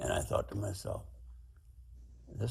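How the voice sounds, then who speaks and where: A man's fairly quick speech carries audible room echo. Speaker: war veteran. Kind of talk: testimony. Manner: halting.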